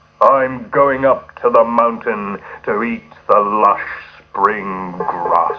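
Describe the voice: Using a put-on character voice, a man talks at a very slow pace with a medium pitch.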